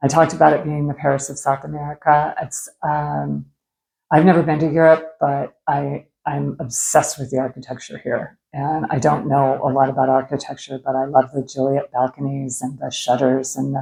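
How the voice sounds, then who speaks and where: In a West Coast US accent, a woman speaks at a moderate pace with a very deep, low pitch, a dark, mellow tone, vocal fry and monotone, flat intonation. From US Pacific Northwest, Seattle. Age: 60s. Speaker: travel vlogger. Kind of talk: casual vlog talk to camera. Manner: hesitant, many fillers.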